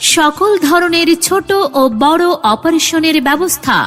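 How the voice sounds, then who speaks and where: Music plays in the background as a woman speaks at an extremely high pitch. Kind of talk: public address advertisement read.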